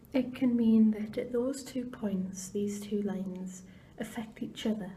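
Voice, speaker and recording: The speech moves at a fairly slow pace. Noticeable background noise runs underneath it. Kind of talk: ASMR palm reading guide. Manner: whispered.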